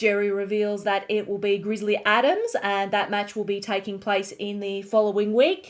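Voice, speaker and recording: Speaking at a fairly slow pace, a woman talks in an Australian accent. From Australia, Melbourne. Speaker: online show recap host. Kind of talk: show recap narration.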